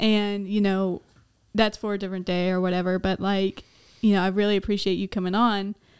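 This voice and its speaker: Speaking at a fairly quick pace, a woman with a medium pitch delivers her words in a monotone, flat intonation on a very clean recording with a silent background. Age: 20s. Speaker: podcast host. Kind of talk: casual chat.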